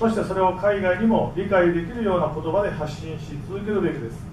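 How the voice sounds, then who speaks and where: A high-pitched man talks at a fairly quick pace with ordinary pitch variation. Light background noise and audible room echo are present. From Japan. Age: 60s. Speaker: professor. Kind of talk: lecture. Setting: stage with audience. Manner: formal. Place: hall.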